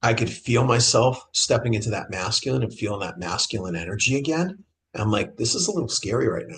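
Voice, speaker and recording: Very fast male speech at medium pitch with an American accent and lively intonation. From Boston. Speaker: men's transformational coach. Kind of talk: interview answer.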